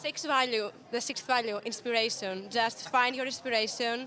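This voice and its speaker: A woman's raised, projected voice, bright and sharp in tone, with ordinary pitch variation. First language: not English. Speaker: barista competition finalist. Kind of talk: interview. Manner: halting.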